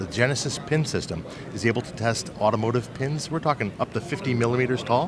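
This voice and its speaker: Noticeable background noise accompanies this speaker. He is a man with a medium pitch. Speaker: equipment company representative. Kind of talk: trade show interview. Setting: trade show floor. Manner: fast.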